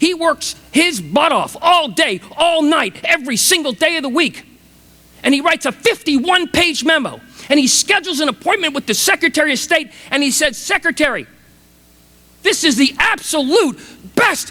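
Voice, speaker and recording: Raised and projected, a man's extremely high voice carries an enthusiastic, passionate tone and lively intonation. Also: moderate pace. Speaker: motivational speaker. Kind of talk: commencement speech to a large audience. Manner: enthusiastic, passionate, storytelling.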